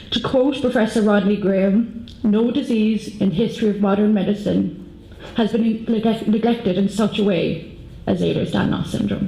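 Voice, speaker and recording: A woman speaks in an Irish accent at a moderate pace, her pitch fairly high and her intonation fairly even. Her loudness stays very even, with noticeable background noise and audible room echo. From Ireland. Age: 30s. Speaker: patient advocate. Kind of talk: conference talk.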